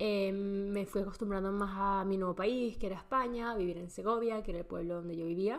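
In a plain, everyday voice, a woman talks at a fairly quick pace and medium pitch with ordinary pitch variation. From Venezuela. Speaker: podcast host. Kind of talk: personal monologue. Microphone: laptop camera mic.

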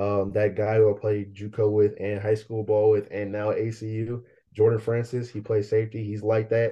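The speaker uses monotone, flat intonation in an American accent. The voice sounds somewhat breathy. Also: man, fairly low pitch for a man, moderate pace. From Bay Area, Northern California. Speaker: college football player. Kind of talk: interview.

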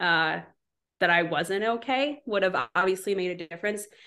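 An unremarkable speaking voice from a woman with an American accent, medium pitch and ordinary pitch variation. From US Midwest, southwest Wisconsin. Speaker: paramedic. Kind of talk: casual interview. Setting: video call.

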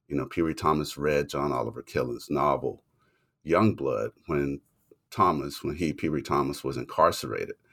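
A man's very deep, low voice with vocal fry, in an American accent, on a very clean recording with a silent background. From US Deep South. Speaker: literature professor and author. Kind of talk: interview.

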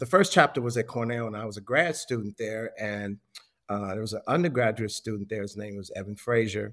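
Talking very fast with an American accent, a man keeps a medium pitch and fairly even intonation. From Chicago, US Midwest. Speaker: hospitality historian and author. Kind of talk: casual interview.

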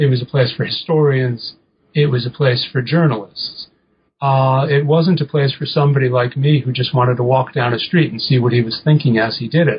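The man's intonation is fairly even. A somewhat breathy quality runs through his voice. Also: medium pitch for a man, fairly quick pace. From New England. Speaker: English professor and author. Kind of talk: interview about his book. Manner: halting, many repeated words and fillers.

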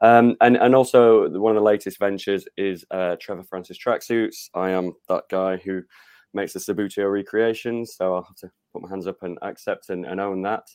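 A man's fairly low voice with a South Yorkshire accent, fairly quick and fairly even in intonation, against a quiet background. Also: dry, close sound with no echo. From northern England, Rotherham (South Yorkshire). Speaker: football author and fan. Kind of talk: interview. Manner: hesitant with fillers.

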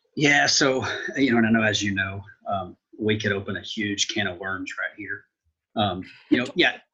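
Speaking at a moderate pace with long, frequent pauses, a man uses a fairly low voice with ordinary pitch variation. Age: 30s. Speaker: financial advisor and assistant professor. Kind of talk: casual interview. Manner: halting, many fillers.

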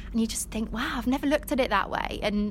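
A woman talks in a monotone, flat intonation over noticeable background noise. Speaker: club inclusion head. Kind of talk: casual interview.

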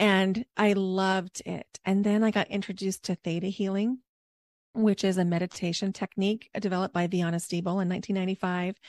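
A woman at medium pitch speaks with fairly even intonation at a moderate pace, the sound dry and close with no echo in a very clean recording with a silent background. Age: 40s. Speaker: reiki healer and breath work coach. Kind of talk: casual interview chat. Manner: calm, soothing.

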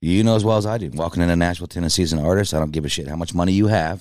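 Very fast speech carries pitch that rises and falls in an ordinary way. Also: man. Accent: American. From Kansas, US Midwest. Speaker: country music singer-songwriter. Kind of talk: casual interview conversation. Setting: studio. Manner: blunt, opinionated.

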